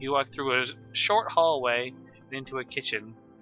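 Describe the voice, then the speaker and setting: A man's fairly high-pitched voice at a moderate pace, ordinary pitch variation, music in the background. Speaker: amateur storyteller. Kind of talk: casual read story. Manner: relaxed, with ums and pauses.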